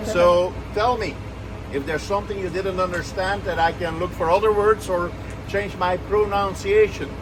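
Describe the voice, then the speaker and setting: Over noticeable background noise and audible room echo, the speaker keeps a moderate pace with fairly even intonation. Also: man, high pitch for a man. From Belgium, Brussels. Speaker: tour guide. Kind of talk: guided walking tour. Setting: outdoors, city square.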